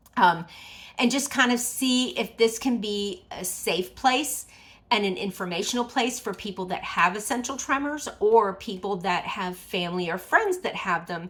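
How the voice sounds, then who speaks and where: The recording is very clean, with a silent background. A woman speaks at a moderate pace with ordinary pitch variation. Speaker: vlogger with essential tremor, pageant titleholder. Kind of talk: casual vlog talk to camera. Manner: stumbles over words at times; halting, with many restarts.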